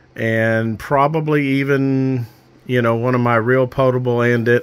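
A fairly slow pace with fairly even intonation. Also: man. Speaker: amateur radio hobbyist. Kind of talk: casual project overview. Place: home room. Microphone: phone near.

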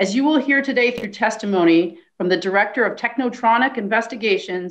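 A woman talks at a fairly quick pace with an unremarkable speaking voice, a fairly high pitch and ordinary pitch variation. The background is quiet. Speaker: lawyer. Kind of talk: mock courtroom argument. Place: home room. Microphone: video call.

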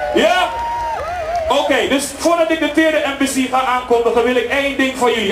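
Crowd noise sounds in the background as a man speaks. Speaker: event host. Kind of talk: public speech to crowd. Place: open country. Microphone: pa.

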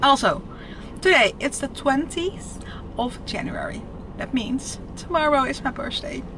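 A high-pitched woman's voice with a Dutch accent, ordinary pitch variation and a moderate pace, over noticeable background noise. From Netherlands. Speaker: lifestyle vlogger. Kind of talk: casual vlog. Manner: animated.

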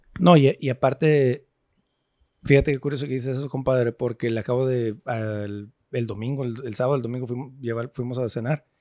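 On a very clean recording with a silent background and a dry, close sound with no echo, a man talks at a fairly quick pace and a medium pitch, his tone dark and mellow and his intonation fairly even. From US-Mexico border, born in California to Mexicali parents. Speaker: podcast host. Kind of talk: casual chat. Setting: restaurant.

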